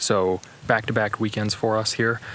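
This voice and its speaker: Against noticeable background noise, a man with a fairly low pitch speaks at a fairly slow pace in a monotone, flat intonation. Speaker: hiking vlogger. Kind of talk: vlog narration. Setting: outdoors.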